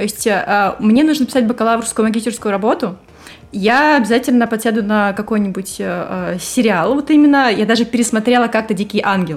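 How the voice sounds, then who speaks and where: With ordinary pitch variation, a woman speaks at a fairly quick pace in a fairly high-pitched voice. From Russia, Saint Petersburg. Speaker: host's wife, guest. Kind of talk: casual chat.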